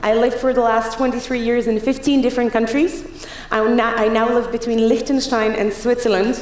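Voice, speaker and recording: Speaking at a fairly quick pace, a woman has a high pitch and very even loudness, with audible room echo and noticeable background noise. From Czech Republic. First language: Czech. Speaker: keynote speaker. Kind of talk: conference talk. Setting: stage with audience. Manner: fast; animated.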